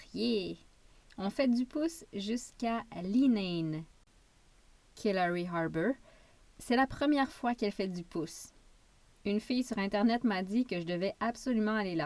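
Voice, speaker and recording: Using a Quebec accent, a woman at medium pitch speaks in a calm tone at a fairly slow pace, with lively intonation and long, frequent pauses. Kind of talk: travel memoir narration. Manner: calm, relaxing.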